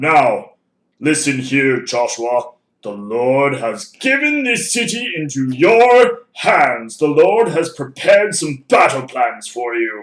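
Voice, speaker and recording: Using a put-on character voice, a man speaks at a fairly slow pace with a fairly high pitch and very wide pitch swings. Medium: read story. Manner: solemn, commanding.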